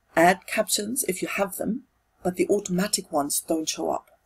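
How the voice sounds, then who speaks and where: A woman with a German accent speaks at a medium pitch in a somewhat breathy voice, her pitch swinging very widely. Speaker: tutorial video creator. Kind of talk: tutorial. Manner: halting, with fillers and repetitions.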